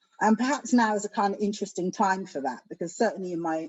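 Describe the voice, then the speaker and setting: A woman speaks with a London accent. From England, South London. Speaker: education academic. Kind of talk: panel discussion. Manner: soft-spoken.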